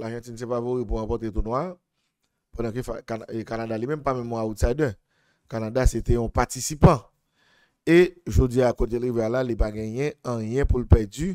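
A man with a Haitian accent talks at a moderate pace in a dark, mellow tone with fairly even intonation. The background is quiet and the sound is dry with no echo. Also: big swings in loudness. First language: Haitian Creole (speaking French). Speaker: football analyst. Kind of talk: sports analysis monologue. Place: studio. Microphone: studio mic.

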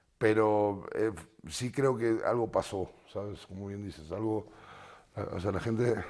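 Against a quiet background, a man with a fairly low pitch talks at a fairly slow pace, his intonation fairly even and broken by long, frequent pauses. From Argentina. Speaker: musician; guest. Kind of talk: interview. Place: studio. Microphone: lapel.

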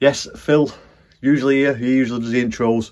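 There is little sound behind the voice, a quiet background. He is a man talking at a moderate speed. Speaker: podcast host. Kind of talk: casual vlog chat. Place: home room. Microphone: phone near.

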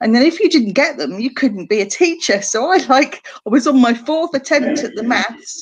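A woman at a high pitch with lively intonation and hardly any pauses. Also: moderate pace. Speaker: guest. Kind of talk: interview answer. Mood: warm, occasionally laughing. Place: home room. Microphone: video call.

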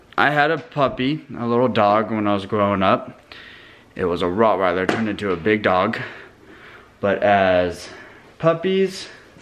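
Long, frequent pauses break up speech at a moderate pace. Noticeable background noise is present. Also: man, fairly low pitch for a man. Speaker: family vlogger. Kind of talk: casual vlog chat. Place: kitchen. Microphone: phone near.

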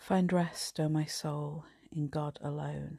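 A soft-spoken woman with an English accent talks at a very slow pace, her pitch very deep and low. Her somewhat breathy voice has a dark, mellow tone against a quiet background. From England. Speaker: priest. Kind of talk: night prayer service, compline liturgy read aloud and prayed. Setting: home, live online video. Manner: soft, slow and hushed; fervent, tender, reverent. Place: home room. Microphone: phone near.

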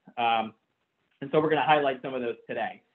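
Quiet background, with a man speaking. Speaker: physical therapist. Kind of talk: webinar presentation. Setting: phone line into webinar. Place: home room. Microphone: webcam.

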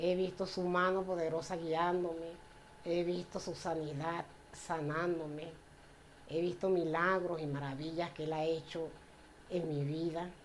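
Monotone and flat, the voice moves at a fairly slow pace with long, frequent pauses over light background noise. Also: woman, fairly low pitch for a woman. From Venezuela, Puerto La Cruz; Venezuela. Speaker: church member. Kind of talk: personal faith testimony. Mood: warm, grateful, smiling. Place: home room. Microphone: camera far.

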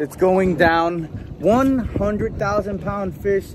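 A man speaks against noticeable background noise. The sound is dry, with no echo. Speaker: fishing vlogger. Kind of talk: casual vlog chat. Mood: joking, playful. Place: boat. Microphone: phone near.

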